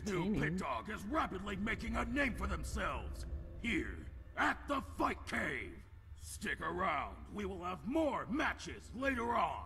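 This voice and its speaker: Over clear background noise, a man projects a raised voice at a fairly slow pace. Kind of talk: ring announcer. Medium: game stream.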